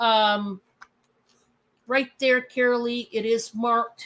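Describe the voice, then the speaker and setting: A woman speaks very slowly in a Michigan accent, her pitch fairly high. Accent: Michigan accent, flat lazy A. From Michigan, US. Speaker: livestream host and reseller. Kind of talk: live selling stream chat. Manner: casual, chatty.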